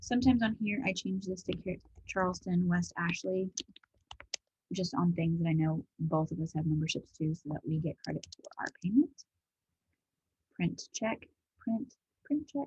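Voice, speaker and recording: Somewhat breathy speech with lively intonation, long and frequent pauses, and a dry, close sound with no echo. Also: woman, fairly low pitch for a woman. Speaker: office manager training a colleague on bookkeeping. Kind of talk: screen-share tutorial. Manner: fast.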